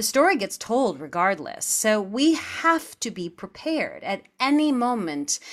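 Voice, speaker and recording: In a very clean recording with a silent background, a woman with an American accent speaks at a moderate pace with very wide pitch swings. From US Midwest, Missouri Ozarks. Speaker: Broadway actress and singer. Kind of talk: interview.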